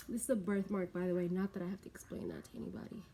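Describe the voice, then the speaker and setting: A woman rushes along at a very fast pace with fairly even intonation. Her tone is dark and mellow, and somewhat breathy. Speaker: beauty vlogger and bartender. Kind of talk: casual get-ready-with-me vlog.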